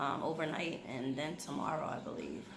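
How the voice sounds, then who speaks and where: Soft-spoken, a woman talks amid audible room echo and noticeable background noise. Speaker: YouTube vlogger. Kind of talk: casual chat.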